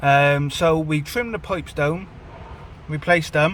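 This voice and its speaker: At a fairly slow pace, a man speaks in a fairly high pitch with ordinary pitch variation over noticeable background noise. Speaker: car vlogger. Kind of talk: casual vlog talk. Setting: in a car.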